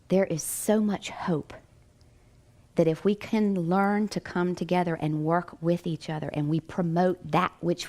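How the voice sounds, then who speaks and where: A woman with a slight Southern US accent speaks in a fairly low pitch and an animated tone. Her pace is fairly slow. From Virginia mountains, US. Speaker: psychic medium and near-death experiencer. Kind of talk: inspirational talk. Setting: stage with audience.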